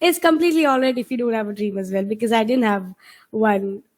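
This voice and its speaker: A woman with a Keralan accent. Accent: Indian English (Malayali). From India, Kerala (Kochin). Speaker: IELTS trainer. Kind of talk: online webinar teaching. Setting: video call webinar. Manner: hesitant, many fillers.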